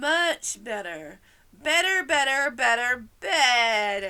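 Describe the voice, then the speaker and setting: A woman's put-on character voice, squeaky and high-pitched. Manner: excited.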